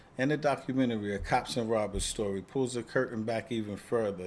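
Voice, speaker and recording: The man has an unremarkable speaking voice at medium pitch. He talks at a moderate pace with ordinary pitch variation. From Queens, New York. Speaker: retired police officer and podcast host. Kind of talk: promotional monologue.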